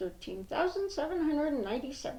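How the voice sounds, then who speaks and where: A woman puts on a character voice at a high pitch. She rattles along at a very fast pace. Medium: read story.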